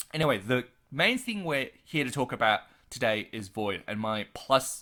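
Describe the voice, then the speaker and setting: In a very clean recording with a silent background, a man with an Australian accent speaks in a bright, sharp tone. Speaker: gaming youtuber. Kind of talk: casual video commentary. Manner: normally fast. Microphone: large expensive studio microphone.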